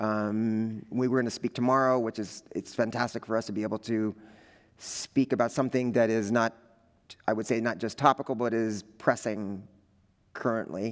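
In a quiet background, a man with an American accent talks in a flat, monotone way. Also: moderate pace. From Los Angeles, US. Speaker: visual artist; visiting artist lecturer. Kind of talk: artist lecture. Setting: lecture hall with audience. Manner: halting, many fillers. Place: hall. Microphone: headset.

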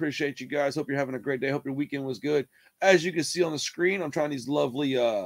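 A man talks at a very fast pace in a fairly high pitch, his pitch moving in an ordinary way, with a dry, close sound and no echo. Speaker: music reaction youtuber. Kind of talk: casual reaction video chat.

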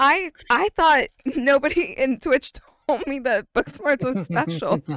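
Recorded dry with no echo, a woman with a high voice talks very slowly, her pitch swinging very widely. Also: quiet background. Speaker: streamer. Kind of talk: casual stream chat storytelling. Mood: amused, laughing. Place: home room. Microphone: studio mic.

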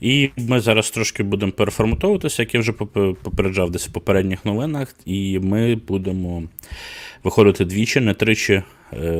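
The recording is very clean, with a silent background. A man with a fairly low pitch and ordinary pitch variation speaks at a moderate pace, leaving long, frequent pauses. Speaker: board game news host. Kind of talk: live stream news roundup. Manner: filler-heavy, hesitant (e, e).

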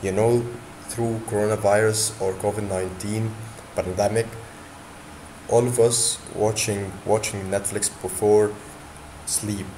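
A man with a fairly low voice talks very slowly in a flat monotone, taking long, frequent pauses against noticeable background noise. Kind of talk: tutorial. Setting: screen recording. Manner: halting, with frequent repetitions and fillers.

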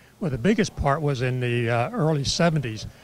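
A man's somewhat breathy voice comes through with a dry sound and no echo. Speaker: former presidential candidate and entrepreneur. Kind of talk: interview. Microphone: handheld.

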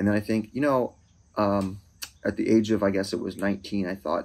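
A man with a fairly low pitch talks at a moderate speed, his intonation fairly level. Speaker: vlogger. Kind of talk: casual vlog chat. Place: street. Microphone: phone near.

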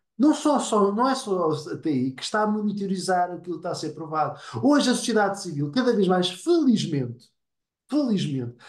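Speech comes at a fairly quick pace with very wide pitch swings. The background is quiet. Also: man. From Portugal. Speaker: nonprofit board member. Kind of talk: online seminar discussion. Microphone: webcam.

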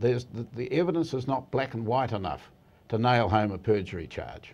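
In a New Zealand accent, a man speaks at a moderate pace with vocal fry. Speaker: barrister, legal commentator. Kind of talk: TV interview. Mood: measured, firm opinion. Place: studio. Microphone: lapel.

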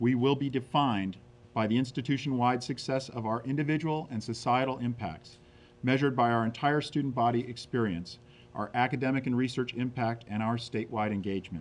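Talking at a fairly quick pace, a man uses ordinary pitch variation. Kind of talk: prepared statement. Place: meeting room. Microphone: podium.

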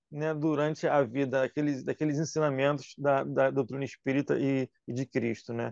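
Here a man talks at a moderate pace. The sound is dry with no echo, and the background is quiet. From Brazil, Rio de Janeiro. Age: 40s. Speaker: religious youth leader; radio program host. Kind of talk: casual radio interview. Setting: radio studio. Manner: halting, many fillers. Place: studio. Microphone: lapel.

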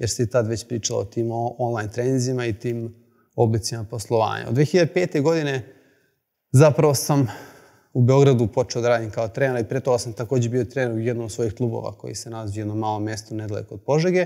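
Ordinary pitch variation marks a man's very fast speech. Behind him the background stays quiet. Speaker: presenter. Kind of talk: lecture. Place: hall.

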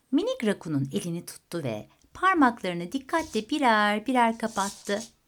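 An unforced reading voice. The words are read out without strain.

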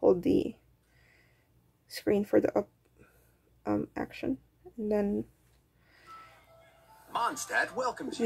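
A woman speaks quietly. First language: not English. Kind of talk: tutorial talk to camera. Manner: hesitant, many fillers; quiet, held-down voice.

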